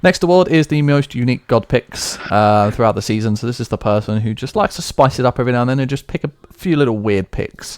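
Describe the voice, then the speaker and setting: With a British accent and lively intonation, a man talks at a very fast pace and medium pitch, with hardly any pauses, in a dry, close sound with no echo. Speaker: esports league award show host. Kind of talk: live stream award show. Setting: live Twitch stream.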